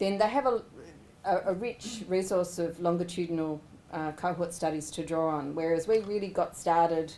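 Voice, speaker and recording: A dark, mellow tone comes through with an Australian accent. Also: woman, fairly low pitch for a woman, ordinary pitch variation. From Australia, Sydney (Ku-ring-gai). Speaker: government researcher. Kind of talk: research presentation. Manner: fast; animated.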